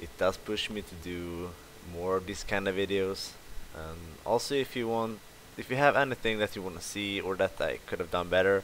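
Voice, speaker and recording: A man speaks with a Swedish accent at a fairly low pitch. His pitch variation is ordinary, but his loudness swings a lot. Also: moderate pace. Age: 20s. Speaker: fitness youtuber, physique competitor. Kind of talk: workout voice-over narration. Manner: hesitant, with filler sounds. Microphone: poor microphone.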